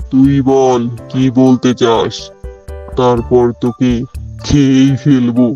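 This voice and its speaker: A woman uses a cartoonish character voice with a very deep, low pitch. She speaks at a very slow pace over faint music in the background. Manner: roaring, angry.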